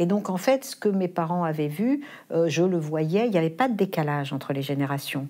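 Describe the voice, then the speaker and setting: A woman's fairly low voice, dark and mellow, with lively intonation. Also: moderate pace. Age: 60s. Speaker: philosophy teacher and foundation head. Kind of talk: interview.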